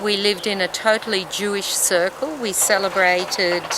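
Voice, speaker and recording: Against noticeable background noise, a woman with an Australian accent speaks fairly slowly at a medium pitch. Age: 60s. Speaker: interviewee tracing family history. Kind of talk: interview testimony.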